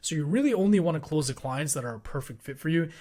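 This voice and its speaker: A man's somewhat breathy voice at a very fast pace with ordinary pitch variation, in a very clean recording with a silent background. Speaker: online business coach. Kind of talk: tutorial.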